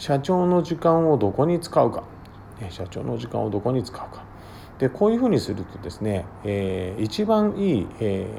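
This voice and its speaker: A man talks at a moderate pace in a medium pitch, his voice somewhat breathy with a dark, mellow tone. His pitch swings very widely and his loudness rises and falls sharply. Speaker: business consultant. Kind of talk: monologue podcast.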